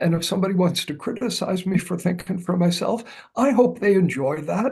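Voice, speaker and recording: A man's high-pitched, dark, mellow voice with ordinary pitch variation. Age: 70s. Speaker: astrologer. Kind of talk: casual chat. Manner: halting.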